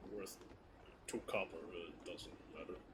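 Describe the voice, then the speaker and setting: A man does a put-on character voice at a fairly slow pace. Loud background noise runs underneath. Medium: actual play. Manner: blunt, terse.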